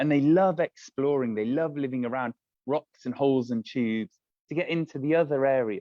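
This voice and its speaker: With an ordinary speaking voice, a man speaks fairly quickly at a fairly high pitch and ordinary pitch variation. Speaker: aquarium guide. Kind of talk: live virtual tour for students. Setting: aquarium, filmed on camera.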